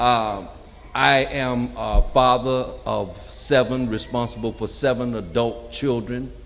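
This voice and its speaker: A man talks very slowly, his voice carrying audible room echo amid noticeable background noise. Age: 60s. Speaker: community engagement coordinator. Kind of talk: panel talk. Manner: conversational.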